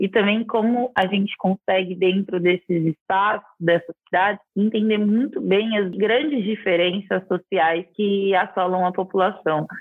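A woman with a normal speaking voice talks in a medium pitch with fairly even intonation. Her loudness stays very even, and there are hardly any pauses. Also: fairly slow pace. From interior of São Paulo state, Brazil (Araraquara). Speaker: architect and TV decor presenter. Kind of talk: interview conversation.

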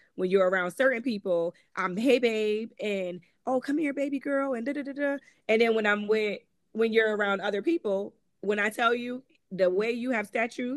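In a Connecticut accent, a woman speaks at a fairly high pitch and moderate pace with lively intonation, the sound dry and close with no echo. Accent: northeastern US, Connecticut. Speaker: author and abuse survivor. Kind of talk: personal storytelling interview.

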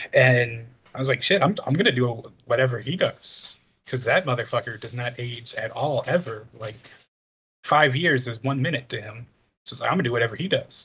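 With an unremarkable speaking voice, a man talks at a fairly quick pace in a medium pitch, showing ordinary pitch variation and big swings in loudness. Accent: American. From Chicago, US Midwest. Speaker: podcast co-host. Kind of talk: casual chat. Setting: video call.

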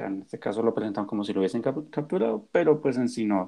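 This is a man at a medium pitch. His tone is dark and mellow. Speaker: university student, podcast co-host. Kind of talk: presentation.

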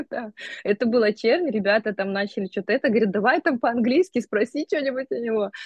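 Speaking at a very fast pace, a woman has a fairly high pitch. Her pitch varies in an ordinary way. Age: 30s. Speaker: astrologer and life coach. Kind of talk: casual chat. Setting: phone video call. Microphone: phone on mobile internet.

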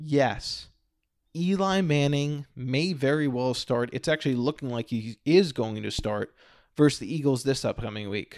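A man speaks at a moderate pace in a plain, everyday voice, medium in pitch with ordinary pitch variation. The recording is very clean, with a silent background. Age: 30s. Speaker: podcast host. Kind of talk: solo monologue. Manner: casual.

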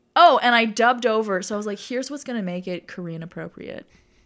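A woman's voice with ordinary pitch variation on a very clean recording with a silent background. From Toronto, Canada (Scarborough). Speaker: stand-up comedian. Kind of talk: casual interview. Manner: animated.

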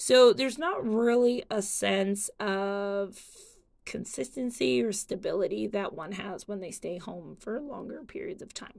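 Speaking at a fairly slow pace, a woman with an ordinary speaking voice and a medium pitch uses lively intonation and big swings in loudness. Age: 30s. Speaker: podcast host. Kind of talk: solo monologue.

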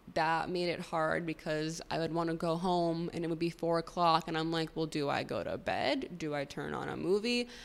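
A woman with an unremarkable speaking voice and an American accent. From Chicago suburbs. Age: 20s. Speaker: podcast host. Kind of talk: solo monologue podcast.

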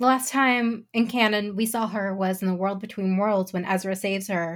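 On a very clean recording with a silent background, a woman talks in a plain, everyday voice. Her pitch is medium, her intonation fairly even and her pace fairly slow. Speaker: fan podcaster guest. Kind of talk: casual roundtable discussion.

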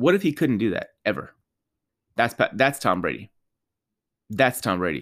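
An animated voice with vocal fry swings very widely in pitch on a very clean recording with a silent background. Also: man. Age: 30s. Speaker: sports podcaster. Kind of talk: solo commentary monologue.

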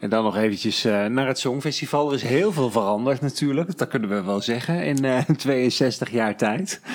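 Amid noticeable background noise, a man speaks at a medium pitch with lively intonation and very even loudness. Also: moderate pace. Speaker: podcast host.

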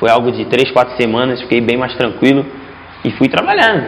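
A man talks at a very fast pace in a medium pitch. Background noise is noticeable. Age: 20s. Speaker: futsal player. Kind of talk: casual interview chat.

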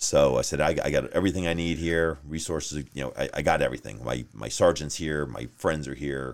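Here a man speaks with a slight New York accent at a fairly quick pace. His pitch is very deep and low, with vocal fry. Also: ordinary pitch variation. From New York, Long Island. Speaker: sheriff's deputy. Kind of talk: casual interview.

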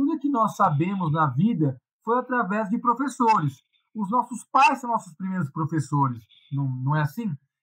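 A man talks at a moderate pace in a high pitch. His pitch swings very widely. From Brazil, São Paulo. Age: 40s. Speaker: Hare Krishna devotee and punk. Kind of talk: casual interview.

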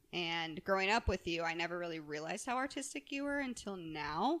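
This woman has an unremarkable speaking voice at a medium pitch. She talks at a moderate pace with lively intonation. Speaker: podcast host. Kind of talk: casual interview chat.

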